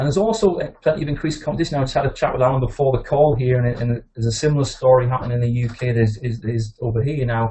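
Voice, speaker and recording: A man's somewhat breathy, medium-pitched voice with a northeast English accent, very fast, with ordinary pitch variation. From northeast England. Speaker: veterinary practice consultant and author. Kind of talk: webinar presentation. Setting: webinar call.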